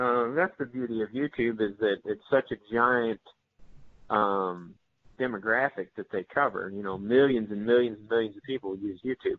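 In a normal speaking voice, a man with an American accent talks at a moderate pace and medium pitch, with ordinary pitch variation and big swings in loudness. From northeast Missouri. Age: 30s. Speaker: hunting video creator. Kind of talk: casual interview.

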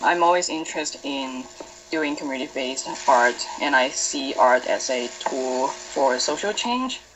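A woman speaks with very deep, low pitch and ordinary pitch variation at a fairly slow pace. Noticeable background noise is audible. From Hong Kong. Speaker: artist. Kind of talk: interview. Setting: video call.

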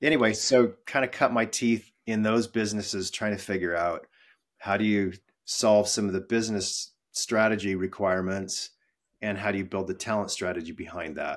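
An unremarkable speaking voice with an American accent at a moderate pace, in a very clean recording with a silent background. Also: man, fairly low pitch for a man, fairly even intonation. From western US. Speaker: employee experience executive. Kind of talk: interview.

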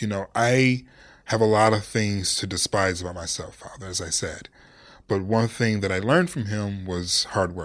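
On a very clean recording with a silent background, a man with a plain, everyday voice talks at a fairly low pitch and moderate pace in an American accent, with ordinary pitch variation. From Detroit, US Midwest. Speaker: sports journalist and broadcaster. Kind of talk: casual interview.

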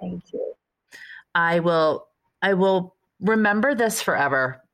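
This woman has a plain, everyday voice at medium pitch. She talks at a fairly slow pace with ordinary pitch variation. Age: 40s. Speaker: podcast host, fitness trainer. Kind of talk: casual interview chat. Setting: video call.

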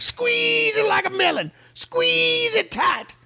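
Someone speaks in a put-on character voice. The pace is very slow. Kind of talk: sermon-like. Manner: fervent, preaching.

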